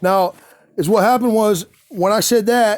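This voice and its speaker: Loud and high-pitched, a man talks at a moderate pace with ordinary pitch variation. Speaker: father vlogging about custody dispute. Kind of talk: casual video monologue reading paperwork. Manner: halting, many fillers and restarts.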